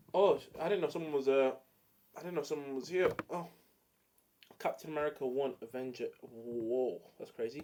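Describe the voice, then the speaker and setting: Someone with an English accent talks at a moderate pace, leaving long, frequent pauses. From England. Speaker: streamer. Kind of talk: casual chat. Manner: animated.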